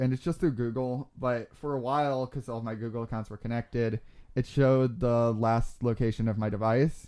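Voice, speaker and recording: At a fairly quick pace, a man with an American accent speaks at a medium pitch in a dark, mellow tone with fairly even intonation. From Arizona (Globe). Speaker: podcast host. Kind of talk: casual chat. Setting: studio.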